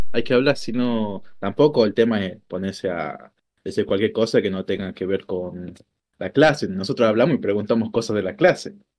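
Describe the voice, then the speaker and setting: A man at a moderate pace with an Argentine accent, ordinary pitch variation, and a quiet background. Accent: Argentine Spanish (Rioplatense). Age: 20s. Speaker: streamer, programming student; streamer. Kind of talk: casual chat. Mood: relaxed storytelling.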